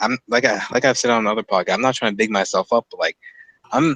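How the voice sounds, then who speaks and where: A man speaks at a fairly quick pace. The sound is dry and close with no echo. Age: 20s. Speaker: podcast host. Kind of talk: casual chat.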